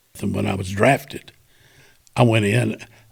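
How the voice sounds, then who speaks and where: A somewhat breathy man with a Southern US accent. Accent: Southern US (Georgia). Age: 70s. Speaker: war veteran. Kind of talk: storytelling. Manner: casual, conversational.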